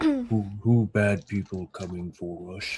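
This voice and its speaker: A man's put-on character voice, fairly low in pitch, monotone and flat, at a fairly slow pace. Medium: actual play. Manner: halting, stammering.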